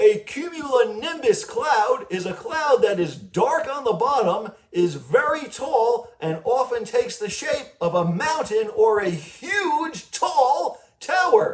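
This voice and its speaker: Using a cartoonish character voice, a man speaks at a fairly slow pace in an extremely high pitch. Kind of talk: educational facts for children. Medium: puppet.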